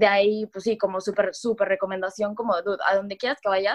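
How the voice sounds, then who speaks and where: A woman's medium-pitched voice moves fairly quickly, its intonation flat and monotone. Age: 20s. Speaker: key account manager. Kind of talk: casual chat.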